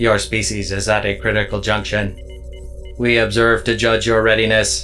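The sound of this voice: A man's robotic, put-on character voice at a moderate pace over clear music in the background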